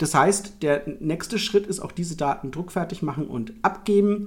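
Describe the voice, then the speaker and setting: This is a man speaking at a high pitch. His pitch variation is ordinary. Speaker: board game publisher editor and podcast host. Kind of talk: casual chat.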